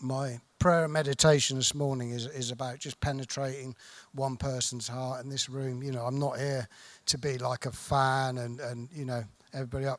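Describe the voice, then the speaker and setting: A southern English accent at a fairly quick pace, with monotone, flat intonation. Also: man. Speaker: recovering addict sharing at convention. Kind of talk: recovery testimony. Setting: stage with audience. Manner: soft-spoken; halting.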